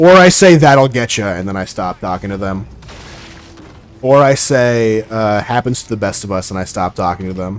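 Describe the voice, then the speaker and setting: A man's fairly low voice, quiet and lively in intonation, with big swings in loudness, a moderate pace and music behind it. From Oregon, US. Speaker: gaming streamer. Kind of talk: casual live-stream chat.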